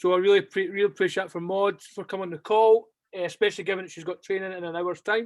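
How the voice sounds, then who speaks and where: The speaker talks at a very fast pace in a strong Scottish accent. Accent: thick Scottish. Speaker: basketball club coach. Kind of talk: closing remarks; interview. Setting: video call.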